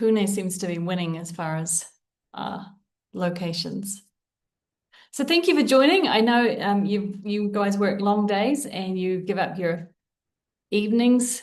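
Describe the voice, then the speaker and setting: The speech moves at a fairly slow pace. Long, frequent pauses break it up. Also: woman, medium pitch for a woman, ordinary pitch variation. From New Zealand. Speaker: leadership coach and trainer. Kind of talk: webinar presentation.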